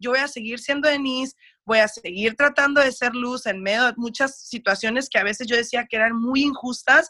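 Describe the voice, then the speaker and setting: Bright and sharp in tone, a woman with a high pitch and a Mexican accent speaks at a moderate pace with ordinary pitch variation. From US, raised by Mexican family, schooled in Mexico. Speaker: radio producer. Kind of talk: interview conversation. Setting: video call.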